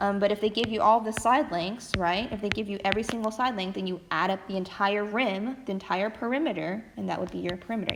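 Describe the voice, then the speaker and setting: A woman's medium-pitched voice at a fairly quick pace with ordinary pitch variation. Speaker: math teacher. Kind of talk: recorded lesson. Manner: fast.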